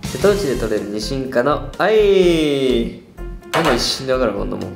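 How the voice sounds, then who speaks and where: A man talks at a fairly slow pace while clear music plays in the background. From Okayama, Japan. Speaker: pop group performer. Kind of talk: casual quiz-show talk. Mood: playful, amused. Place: studio.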